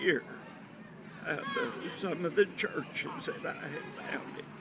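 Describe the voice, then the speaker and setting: A man is speaking in a room with audible echo. Noticeable background noise runs underneath his voice. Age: 70s. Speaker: WWII navy veteran and pastor. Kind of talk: oral history interview.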